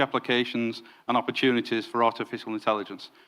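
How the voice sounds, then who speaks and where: A man with a Yorkshire accent speaks on a very clean recording with a silent background. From northern England, Yorkshire. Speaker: former counterterrorism detective, consultancy director. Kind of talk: conference presentation. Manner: hesitant fillers.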